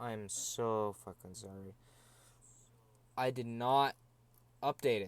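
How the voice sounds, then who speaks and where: The delivery is very slow, with fairly even intonation. Long pauses come often. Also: man, medium pitch for a man. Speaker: video game streamer. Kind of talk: live gaming stream commentary. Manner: monotone.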